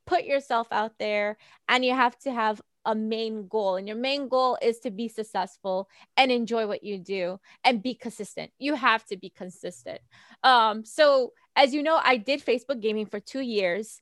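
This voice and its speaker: An unremarkable speaking voice from a woman with an American accent, fairly high in pitch, at a moderate pace with ordinary pitch variation, dry and close with no echo. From New York City, Staten Island. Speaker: gaming streamer. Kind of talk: casual interview. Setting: video call.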